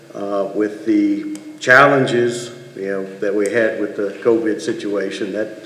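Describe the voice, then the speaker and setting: With audible room echo and noticeable background noise, a man talks at a fairly slow pace and with fairly even intonation. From outside Michigan. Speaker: school board candidate. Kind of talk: candidate forum statement. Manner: halting, many fillers.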